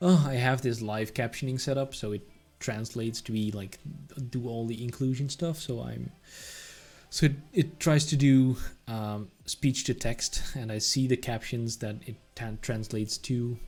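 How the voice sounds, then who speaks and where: A man with a Dutch accent talks at a moderate pace and medium pitch, with ordinary pitch variation. Music plays in the background. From Netherlands. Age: 30s. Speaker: software developer streamer. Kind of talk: live coding stream. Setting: live stream. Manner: animated.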